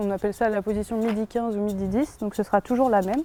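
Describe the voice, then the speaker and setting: At a very fast pace, a woman of medium pitch talks with fairly even intonation. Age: 20s. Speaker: sport shooter. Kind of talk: explanatory interview.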